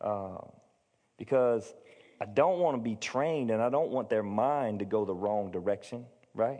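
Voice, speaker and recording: A man's dark, mellow tone at a medium pitch with ordinary pitch variation, a moderate pace and long, frequent pauses. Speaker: pastor. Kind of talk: sermon. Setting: church. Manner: halting.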